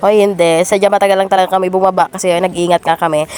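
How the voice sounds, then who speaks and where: Against noticeable background noise, a woman speaks at a fairly quick pace. Her medium-pitched voice is monotone and flat. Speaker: vlogger. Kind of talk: vlog voiceover narration. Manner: casual, chatty.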